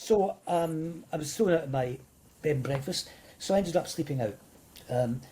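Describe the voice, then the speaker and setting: A man with a Scottish accent, fairly high pitch, somewhat breathy, and a dark, mellow tone. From Scotland. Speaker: motivational speaker. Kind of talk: interview.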